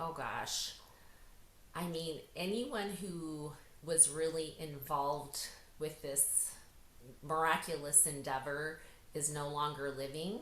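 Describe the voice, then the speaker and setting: A woman with an American accent and a very deep, low pitch speaks at a very slow pace with fairly even intonation. Her long, frequent pauses fall in a room with audible echo. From US, North Idaho. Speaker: author and speaker. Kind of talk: interview, personal story.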